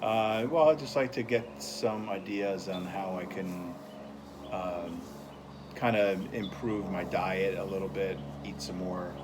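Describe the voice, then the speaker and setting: A man speaks at a fairly slow pace with ordinary pitch variation. Noticeable background noise and audible room echo are present. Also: fairly low pitch for a man. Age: 60s. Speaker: interviewee in a nutrition counseling role-play. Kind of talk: casual interview. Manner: halting, many fillers.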